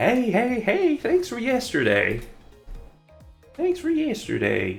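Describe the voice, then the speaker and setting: A put-on character voice delivers its lines in a Southern US accent at a fairly slow pace. Faint music plays in the background. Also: man, extremely high pitch for a man. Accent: Southern American. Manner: exaggerated, casual, friendly.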